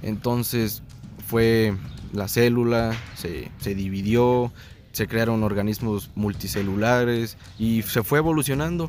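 A man at a medium pitch and a very slow pace. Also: ordinary pitch variation. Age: 20s. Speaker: science enthusiast guest. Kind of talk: casual chat.

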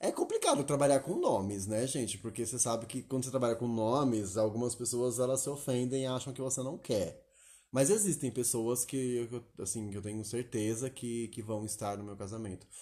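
Here a man talks at a moderate pace and medium pitch, with ordinary pitch variation. His tone is dark and mellow, and somewhat breathy. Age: 30s. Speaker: podcast co-host. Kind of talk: casual chat.

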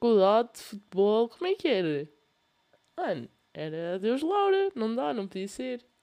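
A woman's fairly high voice with a European Portuguese accent and very wide pitch swings. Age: young. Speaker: podcast host. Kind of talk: casual monologue. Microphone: laptop fan noise.

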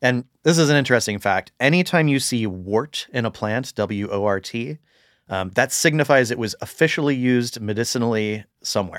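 A man with an American accent has a normal speaking voice, medium pitch and ordinary pitch variation, talking at a moderate pace in a very clean recording with a silent background. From US South, St. Augustine, Florida. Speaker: forager and permaculture designer. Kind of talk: casual chat. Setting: outdoors on a hike (intro only).

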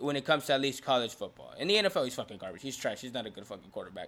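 A man with an American accent talks very fast. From Houston, Texas. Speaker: podcast co-host. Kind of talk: casual chat.

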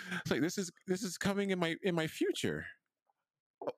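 A man speaks in a bright, sharp tone with vocal fry, recorded dry and close with no echo. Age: 30s. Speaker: podcast co-host. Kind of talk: casual chat.

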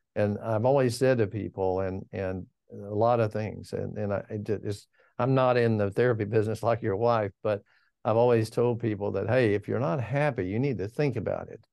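Against a quiet background, a man with a dark, mellow tone speaks at a moderate pace with fairly even intonation. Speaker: financial advisor. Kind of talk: interview about markets.

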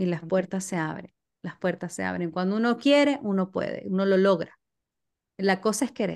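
Against a quiet background, a woman in a Maracaibo accent speaks at a moderate pace with a medium pitch and ordinary pitch variation. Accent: Venezuelan Spanish (Maracaibo). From Venezuela, Maracaibo. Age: 40s. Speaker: social media communicator and podcast host. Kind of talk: casual interview chat.

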